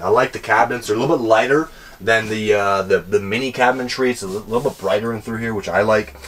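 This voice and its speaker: Over music in the background, a man speaks at a very fast pace with ordinary pitch variation. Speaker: presenter. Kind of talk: product walkthrough tour. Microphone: camera far.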